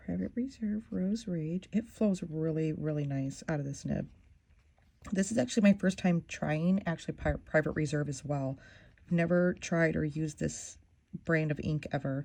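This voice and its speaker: A soft-spoken woman talks at a moderate pace with a very deep, low pitch and lively intonation. Her tone is dark and mellow, and the background is quiet. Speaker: fountain pen ink reviewer. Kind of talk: casual tutorial-style review. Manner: halting.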